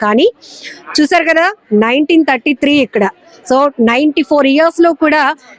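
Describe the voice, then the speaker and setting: Over noticeable background noise, a woman speaks in a high-pitched, upbeat tone with ordinary pitch variation and a dry, close sound with no echo. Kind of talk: interview host talk. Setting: outdoors.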